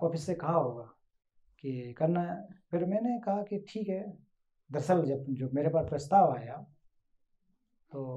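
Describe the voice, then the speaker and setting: A man with a fairly high pitch talks with long, frequent pauses. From India, western Uttar Pradesh. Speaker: translator. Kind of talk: interview.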